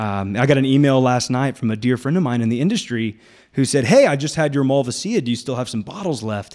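An animated voice with an American accent races at a very fast pace with ordinary pitch variation. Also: man, medium pitch for a man. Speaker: winemaker and winery owner. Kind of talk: casual radio interview.

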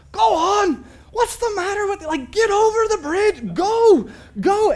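A shouting, put-on character voice comes with a Scottish accent as part of the act. The pitch is extremely high, and the pace is fairly slow. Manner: shouting, urging the sheep on.

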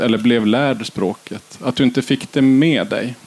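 This man has a normal speaking voice at medium pitch with ordinary pitch variation. His pace is fairly slow. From northern Sweden, Kiruna area. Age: 30s. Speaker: podcast host. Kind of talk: interview. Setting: festival stage with live audience.

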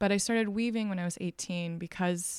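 In a very clean recording with a silent background and a dry, close sound with no echo, a woman with a normal speaking voice talks fairly quickly in an American accent, at medium pitch with fairly even intonation. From Texas. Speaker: textile artist. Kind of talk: casual interview. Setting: artist studio.

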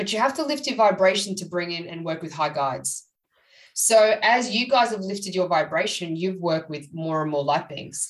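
Talking at a moderate pace, a woman with a fairly low pitch uses lively intonation and big swings in loudness. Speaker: psychic medium and author. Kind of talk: casual interview chat. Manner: conversational, hesitant, many fillers.

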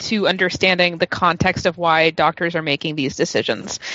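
This is an unremarkable speaking voice, and it keeps to a moderate pace. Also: woman. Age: 30s. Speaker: podcast panelist. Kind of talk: casual chat.

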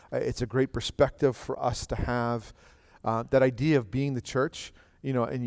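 With a dry, close sound and no echo, a man talks in an ordinary speaking voice at medium pitch with fairly even intonation. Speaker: pastor. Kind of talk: church service. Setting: church.

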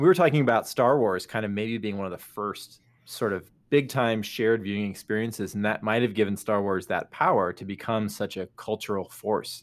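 Here a man with an ordinary speaking voice speaks at a fairly low pitch and a fairly quick pace. His pitch varies in an ordinary way, and the recording is very clean with a silent background. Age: 40s. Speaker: podcast co-host. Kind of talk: casual chat.

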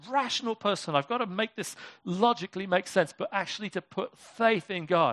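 With a British accent, a man talks at a fairly quick pace and high pitch, his pitch varying in an ordinary way, the sound dry and close with no echo and the background quiet. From Britain. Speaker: pastor. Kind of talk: sermon. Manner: casual, conversational.

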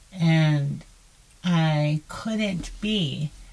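A somewhat breathy woman speaks with a very deep, low pitch and fairly even intonation. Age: older than 34. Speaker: podcast co-host. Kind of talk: casual chat.

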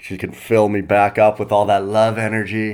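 Using a normal speaking voice, a man talks in a Canadian accent at a fairly slow pace. His pitch sits fairly low. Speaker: comedian. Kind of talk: casual solo monologue. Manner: relaxed, many fillers.

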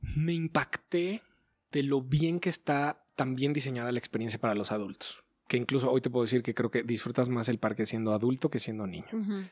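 This man has a plain, everyday voice at medium pitch with lively intonation, recorded very cleanly against a silent background with a dry, close sound and no echo. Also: fairly quick pace. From Mexico City suburbs (Ciudad Satélite). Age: 40s. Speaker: university professor and TV presenter. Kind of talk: interview.

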